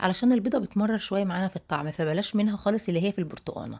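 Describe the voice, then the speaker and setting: A woman's somewhat breathy, fairly high-pitched voice with a dark, mellow tone and ordinary pitch variation. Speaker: home cooking video host. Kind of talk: cooking tutorial. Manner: chatty, conversational.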